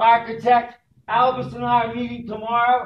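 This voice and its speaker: A man with an American accent at an extremely high pitch and moderate pace, with audible room echo. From Philadelphia. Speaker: homeless commission member. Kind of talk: impassioned speech at meeting. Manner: loud, preacher-like.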